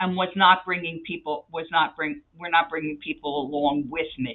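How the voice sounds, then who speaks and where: Energetic in tone, a woman speaks with a slight Philadelphia accent. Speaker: nonprofit CEO. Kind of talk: interview.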